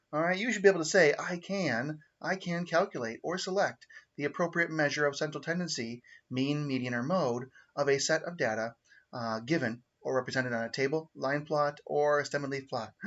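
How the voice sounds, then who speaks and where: Here a man talks at a fairly quick pace. His pitch is fairly high, with ordinary variation. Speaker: math teacher. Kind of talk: recorded lesson livestream. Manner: fast; casual, halting with fillers.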